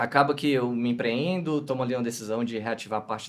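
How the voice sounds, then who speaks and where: A man talks in a northeastern Brazilian accent at a medium pitch. His pace is moderate, with ordinary pitch variation. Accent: northeastern Brazilian (Ceará). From Fortaleza, Ceará, northeast Brazil. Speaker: digital and customer experience director. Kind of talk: podcast interview.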